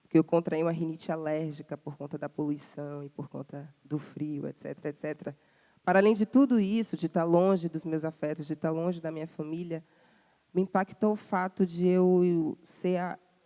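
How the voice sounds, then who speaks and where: The woman's tone is dark and mellow, and the sound is dry and close with no echo. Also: ordinary pitch variation, moderate pace. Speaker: singer. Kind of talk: interview. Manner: halting, many fillers.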